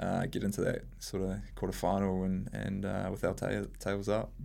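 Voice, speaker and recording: A man speaks at a moderate pace with a New Zealand accent. Room echo is audible. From New Zealand, rural Hamilton (Waikato). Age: 20s. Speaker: national team hockey captain. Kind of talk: interview. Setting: studio.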